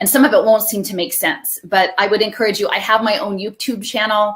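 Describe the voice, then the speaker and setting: Against noticeable background noise, a woman talks at a fairly quick pace and a medium pitch. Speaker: researcher and education activist. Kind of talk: interview. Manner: fast; hesitant with fillers.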